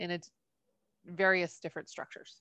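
No echo colors this dry, close sound. Behind it, things stay quiet. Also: woman. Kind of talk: casual podcast conversation.

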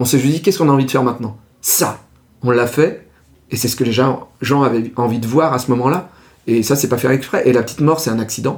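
At a moderate pace, a man with a medium pitch talks in a somewhat breathy voice with ordinary pitch variation. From France, Ardèche. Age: 40s. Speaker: comic book artist and video creator. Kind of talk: casual interview.

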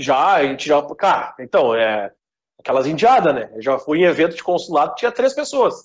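Pitched fairly high, a man is speaking. His pitch swings very widely. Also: moderate pace. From Rio Grande do Sul, Brazil. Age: 30s. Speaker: web radio founder. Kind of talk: casual chat.

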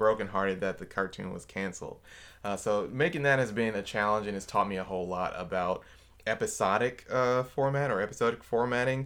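Here a man with an ordinary speaking voice talks at a fairly quick pace, fairly low in pitch with ordinary pitch variation. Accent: American. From Milwaukee, Wisconsin. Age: 30s. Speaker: filmmaker and graphic designer. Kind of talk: casual chat.

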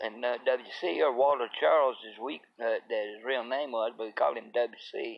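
With vocal fry in his voice, a man talks using fairly even intonation.

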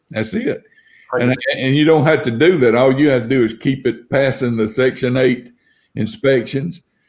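In an Alabama accent, a man talks at a moderate pace. His voice sits at a medium pitch and varies an ordinary amount. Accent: Southern US (Alabama). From US South. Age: 60s. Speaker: house flipper. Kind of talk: casual chat.

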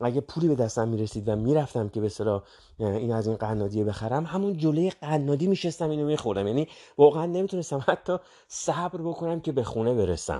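Very fast, lively talk from a man with a fairly high pitch and a dark, mellow tone, over a quiet background. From Iran, Tehran. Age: 50s. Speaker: podcast host, self-help. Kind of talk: motivational monologue. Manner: conversational, with hesitations.

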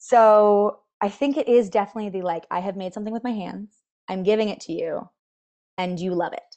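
A woman's dark, mellow voice at a medium pitch, with an American accent and a fairly quick pace. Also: ordinary pitch variation. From US. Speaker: dicemaker. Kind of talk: casual interview chat. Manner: warm, chatty.

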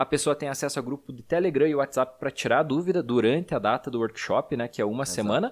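A man speaks at a very fast pace with hardly any pauses, his fairly high pitch moving with ordinary variation, on a very clean recording with a silent background. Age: 30s. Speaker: podcast host, financial educator. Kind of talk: casual chat.

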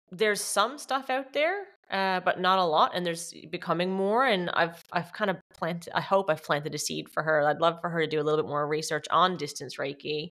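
Recorded very cleanly over a silent background, a woman has an unremarkable speaking voice, fairly low in pitch, with ordinary pitch variation at a moderate pace. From Canada, Newfoundland. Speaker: Reiki teacher, former paramedic. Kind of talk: casual interview.

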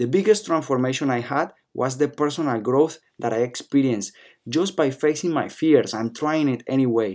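A man with a non-native accent is heard in a very clean recording with a silent background. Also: medium pitch for a man, ordinary pitch variation, moderate pace. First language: not English. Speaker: podcast host, network marketer. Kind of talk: personal story monologue.

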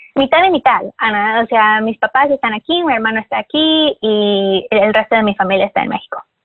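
A woman has an ordinary speaking voice, fairly high in pitch, with lively intonation. She keeps a moderate pace with hardly any pauses. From Mexico. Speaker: yoga teacher. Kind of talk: interview.

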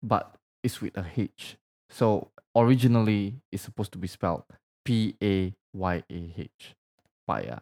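Speaking fairly slowly with long, frequent pauses, a man uses a fairly low pitch and ordinary pitch variation. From Indonesia. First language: Indonesian. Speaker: podcast co-host. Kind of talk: casual chat. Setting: studio.

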